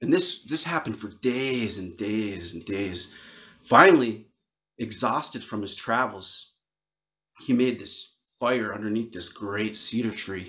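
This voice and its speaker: Speaking fairly slowly in an American accent, a man with a medium pitch and a bright, sharp tone swings widely in loudness. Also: ordinary pitch variation. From northern Wisconsin. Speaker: Ojibwe storyteller and flute player. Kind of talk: storytelling performance. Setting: virtual video call with audience. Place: home room. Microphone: studio mic.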